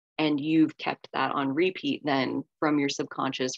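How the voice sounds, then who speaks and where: Against a quiet background, a woman speaks at a moderate pace in a very deep, low voice. The sound is dry with no echo. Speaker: shadow work and astrology facilitator. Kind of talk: group workshop session. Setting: video call. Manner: animated. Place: home room. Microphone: video call.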